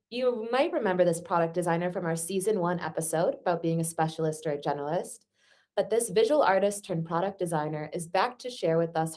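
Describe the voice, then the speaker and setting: At a fairly quick pace, a woman talks in an ordinary speaking voice with a fairly low pitch. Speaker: podcast host. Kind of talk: interview conversation, casual.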